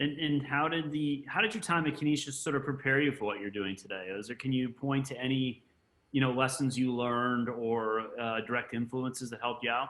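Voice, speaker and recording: At a fairly quick pace, a man talks in an ordinary speaking voice. His pitch is medium, with ordinary variation. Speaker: school vice president and interviewer. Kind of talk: interview.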